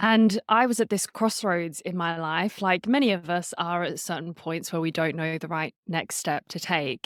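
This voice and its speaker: A woman's fairly low voice at a moderate pace, dry and close with no echo, on a very clean recording with a silent background. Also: ordinary pitch variation. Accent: Australian. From Australia. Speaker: storytelling and public speaking coach, podcaster. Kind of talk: podcast interview.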